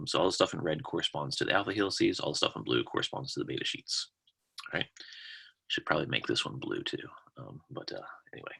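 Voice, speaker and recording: Speech comes at a very fast pace, with big swings in loudness and long, frequent pauses. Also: man. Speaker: university lecturer. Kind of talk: lecture. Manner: halting, many fillers; casual.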